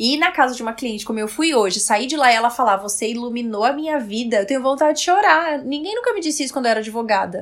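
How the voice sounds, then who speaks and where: Talking at a very fast pace with hardly any pauses, a woman uses a high pitch, lively intonation and an animated tone over noticeable background noise. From Brazil, Roraima. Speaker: style consultant. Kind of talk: casual interview chat.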